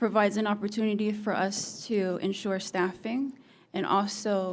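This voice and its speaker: A woman's medium-pitched voice with a monotone, flat intonation. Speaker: government agency representative. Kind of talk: legislative testimony. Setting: committee hearing.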